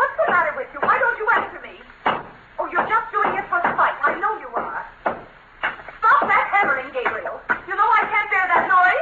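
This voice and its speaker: A woman speaks in a put-on character voice, whiny and extremely high-pitched. Her pitch swings very widely at a moderate pace. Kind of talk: 1940s radio acting. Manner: whining, nagging, complaining.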